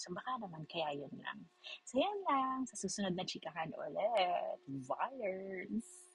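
A woman at medium pitch, very slow, with very wide pitch swings and big swings in loudness. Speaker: vlogger. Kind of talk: casual chat. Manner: animated.

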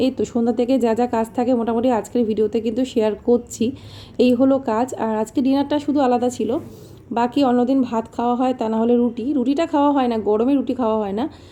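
A woman speaks at a high pitch with a dark, mellow tone. Her intonation is monotone and flat. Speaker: vlogger, homemaker. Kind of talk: casual vlog narration.

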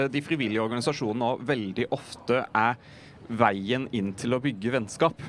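The speaker goes at a fairly quick pace with ordinary pitch variation, in a dry sound with no echo and light background noise. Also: man. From southern Norway. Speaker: politician. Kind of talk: panel discussion. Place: waterside. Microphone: handheld.

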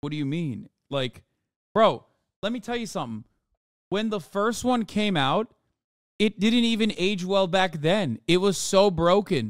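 Against a quiet background, a man talks with lively intonation. The sound is dry, with no echo. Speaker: livestreamer. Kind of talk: casual stream commentary reacting to chat. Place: home room. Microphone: studio mic.

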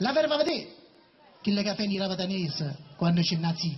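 A man speaks with a southern Italian accent. His pitch is high. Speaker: poetry performer. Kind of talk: poetry reading. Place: stage. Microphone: pa.

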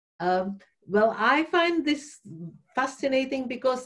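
Against a quiet background, a woman with a Czech accent speaks fairly slowly with lively intonation. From Czech Republic (Prague). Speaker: workshop participant. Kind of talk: group discussion. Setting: video call. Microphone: video call.

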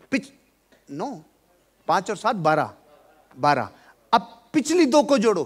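The speech moves at a fairly slow pace, broken by long, frequent pauses, while the pitch swings very widely. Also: man, high pitch for a man. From India. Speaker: motivational speaker. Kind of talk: motivational seminar talk. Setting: hall with live audience. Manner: animated. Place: hall. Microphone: headset.

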